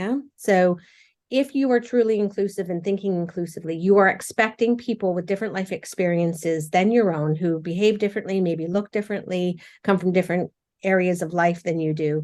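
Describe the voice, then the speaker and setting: A woman with a Canadian accent speaks at a fairly quick pace, her medium pitch showing ordinary variation. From Canada. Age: middle-aged. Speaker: charity chief executive. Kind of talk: interview. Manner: halting, many repetitions and fillers.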